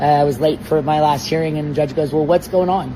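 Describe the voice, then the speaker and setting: Through noticeable background noise, a man speaks at a fairly high pitch with monotone, flat intonation. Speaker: attorney. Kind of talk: interview. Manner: loud; hesitant with fillers.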